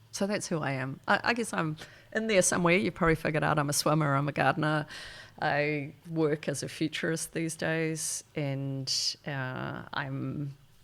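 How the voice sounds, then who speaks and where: A woman speaks with a New Zealand accent. Her pitch is very deep and low, with ordinary variation. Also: moderate pace. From New Zealand, Wellington. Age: 60s. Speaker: futurist. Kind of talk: podcast interview. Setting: indoors with harbour view.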